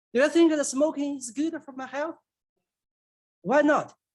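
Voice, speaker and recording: At a moderate pace, the speaker talks with a Chinese accent. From China. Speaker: public commenter, scientist. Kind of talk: public comment. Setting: city council meeting.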